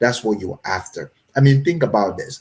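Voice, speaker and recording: The man's voice is somewhat breathy. Its pitch is medium and its intonation lively. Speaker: online business coach. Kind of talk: live stream talk. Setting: live video stream with chat.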